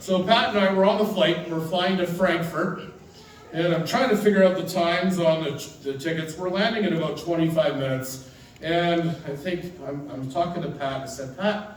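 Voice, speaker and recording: Over noticeable background noise and audible room echo, a man speaks at a moderate pace in a high pitch. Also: ordinary pitch variation. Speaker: teacher giving memorial tribute. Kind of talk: memorial speech. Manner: animated storytelling.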